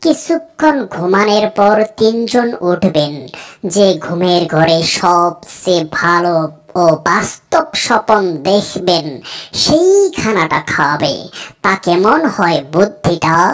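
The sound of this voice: A woman's cartoonish character voice at medium pitch, with lively intonation, very even loudness and a fairly slow pace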